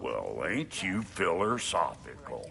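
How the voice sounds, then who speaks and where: Slowly, at a fairly slow pace, a man performs a put-on character voice. Clear background noise runs behind him. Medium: video game. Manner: brash, folksy, sarcastic.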